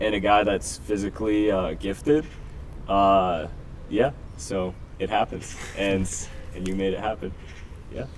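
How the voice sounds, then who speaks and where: A man with a New Jersey accent talks at a fairly slow pace with long, frequent pauses and ordinary pitch variation, over noticeable background noise. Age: 20s. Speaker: football coach. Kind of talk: interview.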